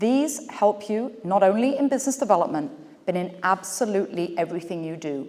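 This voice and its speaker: An animated woman's voice in an English accent, medium pitch with very wide pitch swings, at a moderate pace. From England. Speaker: business speaker. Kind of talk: keynote speech.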